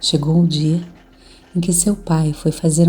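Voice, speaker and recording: Over music in the background, a woman speaks at a fairly slow pace with a very deep, low pitch and monotone, flat intonation. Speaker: storyteller. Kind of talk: read folk tale.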